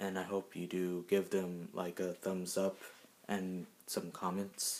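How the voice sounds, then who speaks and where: A man's very deep, low voice, quiet and at a very slow pace. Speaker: YouTuber; vlogger. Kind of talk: casual vlog. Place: home room. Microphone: phone near.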